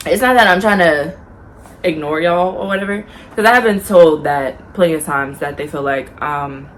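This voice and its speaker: A woman talks at a moderate pace in a fairly low pitch, her intonation lively. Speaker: YouTuber. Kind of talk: casual vlog talk. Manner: soft-spoken.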